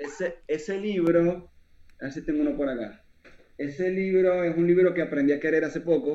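In a Zulian accent, a man talks at a moderate pace with a high pitch, ordinary pitch variation and a dark, mellow tone. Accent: Venezuelan (Zulia) Spanish. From Venezuela, Maracaibo. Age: 20s. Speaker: poet. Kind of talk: casual chat.

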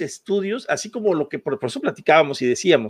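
A man's voice with very wide pitch swings, in a very clean recording with a silent background. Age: 50s. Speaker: podcast co-host. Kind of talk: heated debate.

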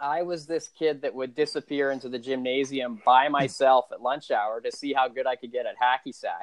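A man speaks with a fairly high pitch and a normal speaking voice. His pace is moderate, with hardly any pauses and fairly even intonation. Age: 40s. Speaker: podcast host. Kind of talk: casual chat.

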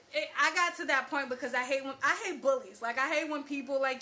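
A raised, projected voice races along at a very fast pace with ordinary pitch variation. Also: woman. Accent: American. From Newark, New Jersey. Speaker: podcast guest. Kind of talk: casual chat.

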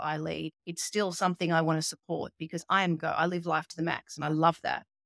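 Fairly quick speech with an Australian accent, dry and close with no echo, on a very clean recording against a silent background. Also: woman. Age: 40s. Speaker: molecular geneticist and nutritionist. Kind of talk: interview.

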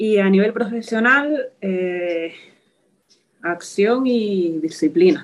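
Lively intonation marks a woman's very slow speech. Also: medium pitch for a woman. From Spain, Toledo. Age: 20s. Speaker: physiotherapist. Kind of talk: interview.

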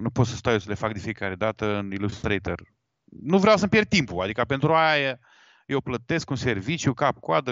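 Having an unremarkable speaking voice, a man talks at a moderate pace with lively intonation. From Galați, eastern Romania (Moldova region). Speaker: wedding photographer. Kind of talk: casual interview on live podcast.

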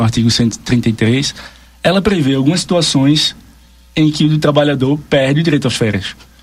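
A man talks at a fairly slow pace with very even loudness. His voice is somewhat breathy and fairly high in pitch, with ordinary pitch variation. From Brazil, Pernambuco. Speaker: labor law advisor. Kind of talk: radio interview, explanatory.

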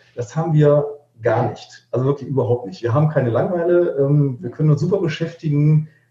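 A plain, everyday voice from a man, fairly high in pitch, with ordinary pitch variation and a fairly quick pace. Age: 50s. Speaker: musician. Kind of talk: casual chat.

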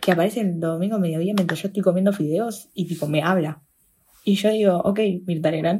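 A woman speaks in a medium-pitched voice with a dark, mellow tone. She sounds somewhat breathy, keeping a moderate pace and fairly even intonation. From Buenos Aires, Argentina. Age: 20s. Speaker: podcast co-host. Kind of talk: casual chat.

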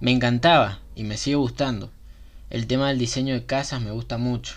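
An unremarkable speaking voice, a man's, medium in pitch, with fairly even intonation. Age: 20s. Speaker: podcast host. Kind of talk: casual monologue.

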